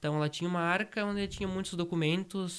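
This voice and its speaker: A high-pitched man at a moderate pace with fairly even intonation, on a very clean recording with a silent background. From Brazil, Rio Grande do Sul interior. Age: 20s. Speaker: rural heritage project founder. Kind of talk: interview.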